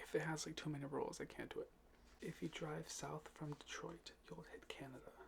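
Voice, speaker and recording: Whispered words from a man, moderately paced. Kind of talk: ASMR fact reading for sleep. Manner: soft-spoken.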